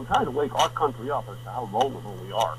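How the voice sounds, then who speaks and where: A man's medium-pitched voice with an American accent, at a fairly quick pace, over noticeable background noise. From northeastern US. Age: 70s. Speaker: author and wilderness survivalist. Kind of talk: radio interview. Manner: blunt; halting.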